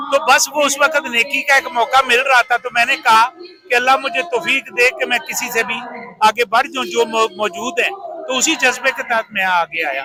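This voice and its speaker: Over noticeable background noise, a man speaks in a raised, projected voice at an extremely high pitch with ordinary pitch variation. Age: old. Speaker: political rally supporter who bought a politician's glasses at auction. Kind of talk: interview answer.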